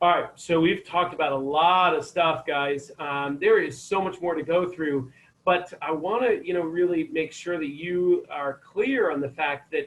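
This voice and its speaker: A high-pitched male voice with an American accent, ordinary pitch variation and a moderate pace. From Maine, US. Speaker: chiropractor giving health talk. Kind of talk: online health talk. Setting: video call.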